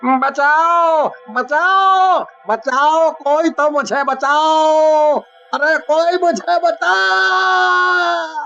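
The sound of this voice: A cartoonish character voice, high in pitch, at a very slow pace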